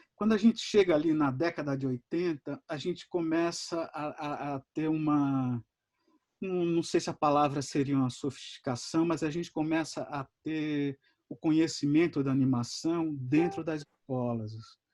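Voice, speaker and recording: The sound is dry and close with no echo, over a quiet background. A man speaks at a fairly high pitch and moderate pace, with ordinary pitch variation. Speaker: animator giving a masterclass. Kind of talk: lecture. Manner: halting, many fillers and repetitions.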